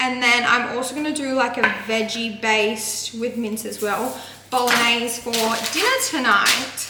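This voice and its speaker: A woman with an Australian accent speaks at a high pitch in a monotone, flat intonation and a fairly slow pace. Noticeable background noise and audible room echo surround her voice. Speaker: lifestyle vlogger. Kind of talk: vlog.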